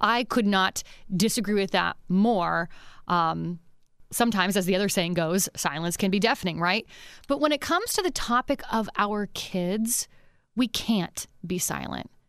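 Recorded very cleanly against a silent background, a woman with an American accent and an ordinary speaking voice talks at a moderate pace, medium in pitch with ordinary pitch variation. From Pennsylvania. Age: 30s. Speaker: radio and podcast host. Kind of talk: interview. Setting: studio.

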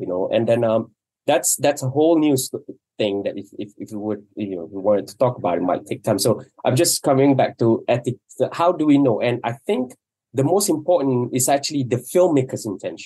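A man at a fairly quick pace, medium pitch and dark, mellow tone, with lively intonation and big swings in loudness. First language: Malay. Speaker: documentary filmmaker. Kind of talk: casual panel discussion. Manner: halting.

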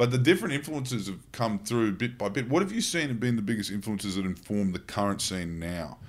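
Very fast and with hardly any pauses, a man with an Australian accent speaks in lively intonation. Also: medium pitch for a man. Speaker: podcast co-host. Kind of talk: casual chat.

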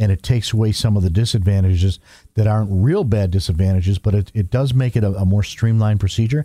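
Speaking at a very fast pace, a man has a fairly low pitch, ordinary pitch variation, a dark, mellow tone and a somewhat breathy quality, recorded with a dry, close sound with no echo. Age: 60s. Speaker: eye care practitioner. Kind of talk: casual interview.

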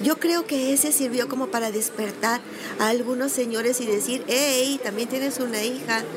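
Audible room echo and noticeable background noise surround the voice. It moves at a moderate pace with ordinary pitch variation and very even loudness. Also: woman, high pitch for a woman. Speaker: voice actress. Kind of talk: interview.

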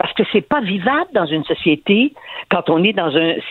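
This woman's pitch swings very widely as she speaks. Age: 70s. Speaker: newspaper columnist. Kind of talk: radio interview. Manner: animated.

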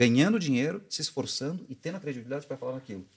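Using a normal speaking voice, a man talks at a medium pitch with lively intonation. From interior of São Paulo state, Brazil. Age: 40s. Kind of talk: casual interview.

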